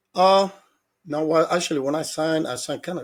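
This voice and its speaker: Talking very fast in a Dominican accent, a man has a fairly high pitch and ordinary pitch variation. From Dominican Republic. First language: Spanish. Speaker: former baseball player and hitting coach. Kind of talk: interview.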